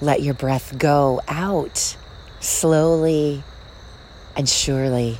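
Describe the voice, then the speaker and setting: A woman with a very deep, low pitch and a soothing, calm tone, fairly even intonation, a very slow pace and long, frequent pauses over noticeable background noise. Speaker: meditation guide and podcast host. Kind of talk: guided meditation. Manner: slow, soothing, calm and gently paced with long pauses; soft-spoken, warm and reassuring.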